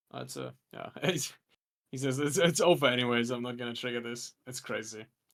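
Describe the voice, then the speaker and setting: A man mumbles at a fairly quick pace and medium pitch. His loudness swings widely, while his pitch varies in an ordinary way. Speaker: card game commentator. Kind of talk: live commentary. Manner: mumbling.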